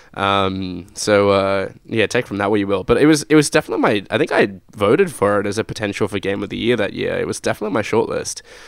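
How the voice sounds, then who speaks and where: Speaking at a very fast pace, a man with an Australian accent has a fairly low pitch, captured in a very clean recording against a silent background. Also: ordinary pitch variation. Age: 20s. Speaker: podcast host. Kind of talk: casual chat. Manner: hesitant, many fillers.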